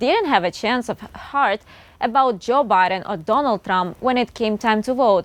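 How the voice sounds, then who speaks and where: A woman with a normal speaking voice, fairly high in pitch, lively in intonation, at a moderate pace. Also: dry, close sound with no echo. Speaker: news anchor. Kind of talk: TV news anchor read.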